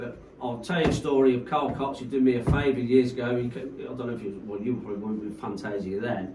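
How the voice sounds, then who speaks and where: A man speaks very fast with hardly any pauses, with audible room echo and noticeable background noise. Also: medium pitch for a man, ordinary pitch variation. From Coventry, England. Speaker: rave promoter. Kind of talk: casual chat.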